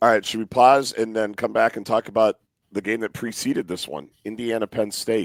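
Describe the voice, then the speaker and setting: With vocal fry and fairly even intonation, a man speaks at a fairly quick pace, the sound dry and close with no echo. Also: medium pitch for a man. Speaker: sports podcast host. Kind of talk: host-read ad; casual sports chat.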